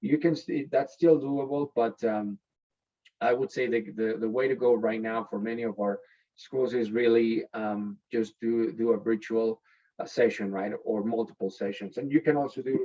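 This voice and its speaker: At a moderate pace, a man with a Spanish accent speaks at medium pitch with ordinary pitch variation. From Mexico City, Mexico. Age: 30s. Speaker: education company sales executive. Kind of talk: webinar presentation. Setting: video call. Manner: halting, many repetitions and fillers.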